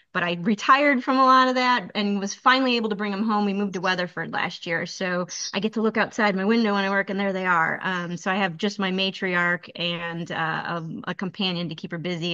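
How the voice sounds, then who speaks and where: In a quiet background, a woman with an American accent talks at a very fast pace with a bright, sharp tone and a medium pitch. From Chicago area, Illinois. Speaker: graduate writing student. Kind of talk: casual self-introduction.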